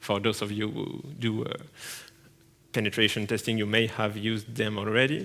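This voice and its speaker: A man with a French accent talks at a moderate pace, his pitch medium and his intonation fairly even. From France. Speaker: penetration tester, conference speaker. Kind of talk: conference talk. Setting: stage with audience. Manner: halting, many fillers.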